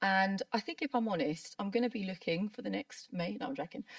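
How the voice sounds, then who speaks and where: A woman's somewhat breathy, medium-pitched voice in a southern English accent, with ordinary pitch variation and a dry, close sound with no echo. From southern England. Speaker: brow artist. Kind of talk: interview.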